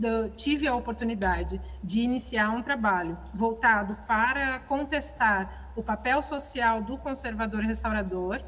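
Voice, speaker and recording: In a room with audible echo, a woman talks at a very slow pace. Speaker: conservator-restorer and audio describer. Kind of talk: seminar talk. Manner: halting, many fillers.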